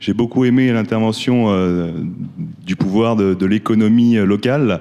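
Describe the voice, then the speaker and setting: A man's fairly low, dark and mellow voice, fairly slow and fairly even in intonation, with very even loudness over a quiet background. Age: young. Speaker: audience member asking a question. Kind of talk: public Q&A remark.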